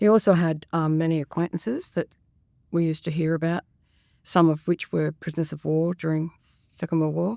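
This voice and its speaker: In an Australian accent, a woman speaks at a fairly quick pace with a fairly low pitch, a dark, mellow tone and monotone, flat intonation, her voice dry and close with no echo on a very clean recording against a silent background. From Australia, Sydney. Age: 70s. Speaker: retired school worker and grandmother. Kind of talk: podcast interview. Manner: hesitant, many fillers.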